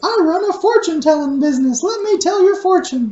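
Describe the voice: A man puts on a character voice with an extremely high pitch. He talks at a fairly quick pace.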